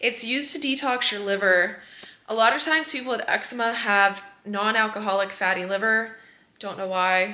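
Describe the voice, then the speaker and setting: Speaking at a moderate pace, a woman has a fairly high pitch with a bright, sharp tone and ordinary pitch variation. Audible room echo surrounds her voice. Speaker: eczema coach and vlogger. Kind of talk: casual vlog.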